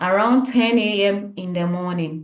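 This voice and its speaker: Ordinary pitch variation within a normal speaking voice. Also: woman. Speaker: health educator. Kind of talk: tutorial.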